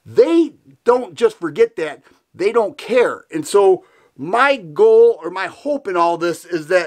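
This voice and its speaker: A man's high pitch with very wide pitch swings, in an American accent. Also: quiet background. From Michigan. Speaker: gun YouTuber. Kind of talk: political commentary in a video, rally-support speech. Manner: earnest, fired-up, indignant. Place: home room.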